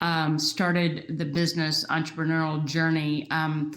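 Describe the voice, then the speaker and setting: A woman speaks at a moderate pace with a slight Southern US accent. Her very deep, low pitch carries fairly even intonation. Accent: slight Southern twang. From US South, Aiken, South Carolina. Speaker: entrepreneur, startup co-founder. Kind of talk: panel discussion.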